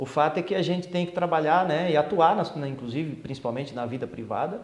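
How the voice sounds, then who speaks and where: A man speaks with ordinary pitch variation, and room echo is audible. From Brasília, Brazil. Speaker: police chief. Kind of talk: interview.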